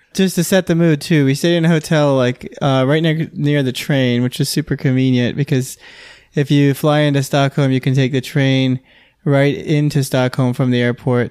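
A man with a plain, everyday voice, fairly high pitch, moderate pace and fairly even intonation, on a very clean recording with a silent background. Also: very even loudness. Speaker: podcast co-host, first-time marathoner. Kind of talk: casual chat.

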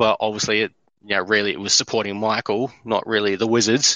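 A man's pace is fairly quick. He talks with an Australian accent. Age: 30s. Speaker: courier and basketball fan. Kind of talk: casual chat.

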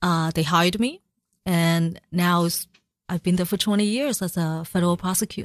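On a very clean recording with a silent background, a woman talks at a medium pitch with ordinary pitch variation. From China and Macau, moved to US at eleven. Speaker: oil painter and labor organizer. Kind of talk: radio interview. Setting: radio studio. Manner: halting, many fillers.

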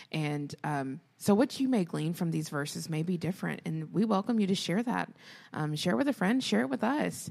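A woman speaks at a moderate pace with a fairly low voice and vocal fry. Her pitch swings very widely, in a very clean recording with a silent background. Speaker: podcast host and educator. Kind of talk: casual chat.

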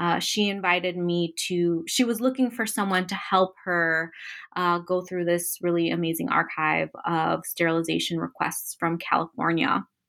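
The recording is very clean, with a silent background. A woman with a plain, everyday voice speaks at a moderate pace, her pitch fairly low and her pitch variation ordinary. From Chicago, US Midwest. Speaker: professor and author. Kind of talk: interview about her book.

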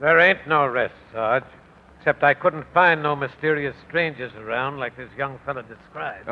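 A man puts on a gruff character voice, pitched fairly high for a man. He talks at a moderate pace with ordinary pitch variation and big swings in loudness. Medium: old radio play. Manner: gruff, ungrammatical.

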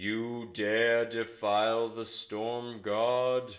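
A man puts on a booming character voice at medium pitch. His delivery is monotone and flat at a very slow pace. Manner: commanding.

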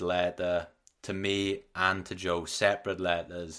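Quiet background behind a man with a Welsh accent and a very deep, low pitch. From Wales. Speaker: podcast host. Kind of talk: casual interview chat. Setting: remote podcast recording.

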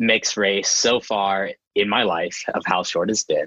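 Recorded with a dry, close sound and no echo, a man speaks at a fairly slow pace in a fairly low pitch with a bright, sharp tone. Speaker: podcast guest, university student. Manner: joyful, upbeat.

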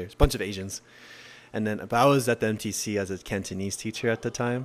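In an unremarkable speaking voice, a man talks at a fairly quick pace and a fairly low pitch. His intonation is fairly even, and the recording is very clean with a silent background. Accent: American. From South Korea and Utah. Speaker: podcast guest. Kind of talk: casual chat.

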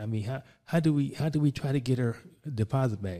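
A man with an American accent and a dark, mellow tone, at a fairly quick pace, on a very clean recording with a silent background. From Philadelphia, US. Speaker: commercial real estate broker. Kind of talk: casual interview.

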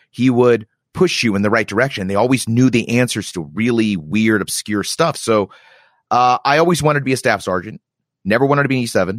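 A man's ordinary speaking voice, medium-pitched, with lively intonation and a fairly quick pace, on a very clean recording with a silent background. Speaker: army reserve warrant officer and podcaster. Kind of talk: casual chat.

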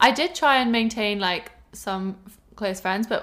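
A woman's medium-pitched voice with a southern English accent, ordinary pitch variation and a fairly slow pace. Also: very clean recording, silent background. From England, Cornwall. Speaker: host's best friend. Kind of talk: casual chat.

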